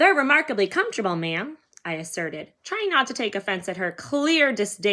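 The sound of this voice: Someone reads in an unforced voice while the background stays quiet.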